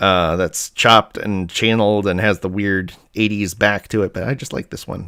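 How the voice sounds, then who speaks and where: Recorded dry and close with no echo, a man speaks in a fairly low voice at a moderate pace, his intonation fairly even. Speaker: diecast collector and video host. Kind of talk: casual live haul review. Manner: hesitant, many fillers.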